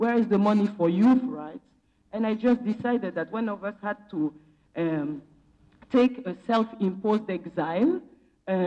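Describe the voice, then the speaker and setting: A woman with a Senegalese accent talks at a moderate pace in a fairly high, dark, mellow tone, her lively intonation broken by long, frequent pauses. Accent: Senegalese, funky. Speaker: philanthropy program officer and activist. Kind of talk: conference panel talk. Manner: impassioned.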